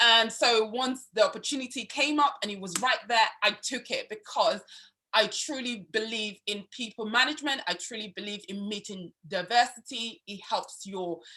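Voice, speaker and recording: In a Yoruba accent, a woman speaks at a moderate pace with a bright, sharp tone. Her fairly high voice shows ordinary pitch variation. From Nigeria. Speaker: student union vice president. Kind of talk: interview. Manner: enthusiastic.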